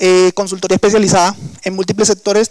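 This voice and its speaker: Recorded dry and close with no echo, a high-pitched man speaks at a fairly quick pace with a Colombian coastal accent. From Colombian Caribbean coast. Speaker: engineer and workshop instructor. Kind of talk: lecture. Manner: hesitant, with fillers.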